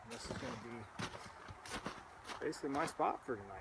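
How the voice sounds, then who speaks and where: With noticeable background noise behind him, a man speaks at a fairly high pitch with ordinary pitch variation. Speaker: hunting guide and outdoorsman. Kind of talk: outdoor vlog narration. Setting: outdoors in the woods. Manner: casual, halting with fillers.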